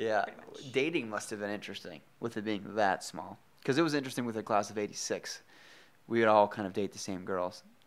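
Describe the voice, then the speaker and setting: With an American accent and a plain, everyday voice, a man talks fairly quickly with ordinary pitch variation. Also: fairly low pitch for a man. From Minnesota. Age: 20s. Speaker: podcast host. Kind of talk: casual interview chat.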